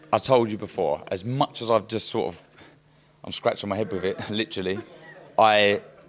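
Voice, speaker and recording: A man with a fairly low pitch speaks at a moderate pace, with long, frequent pauses. Noticeable background noise can be heard. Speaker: retired boxer, boxing pundit. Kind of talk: casual interview chat.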